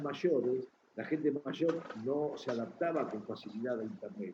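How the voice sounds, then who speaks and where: With a Buenos Aires accent, a man speaks at a fairly slow pace with lively intonation. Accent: Rioplatense Spanish (Buenos Aires). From Argentina. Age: 60s. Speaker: chess journalist. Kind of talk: interview.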